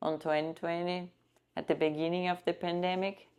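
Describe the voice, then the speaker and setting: A woman speaks with a Brazilian accent. Her pitch is fairly low and her pace moderate. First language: Portuguese. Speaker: trafficking survivor. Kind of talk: interview testimony.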